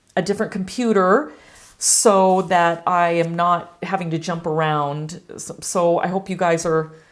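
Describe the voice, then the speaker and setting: This woman's voice sits fairly low in pitch. She speaks at a fairly slow pace with fairly even intonation. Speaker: watercolor artist and instructor. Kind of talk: live stream painting demo chat. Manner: halting.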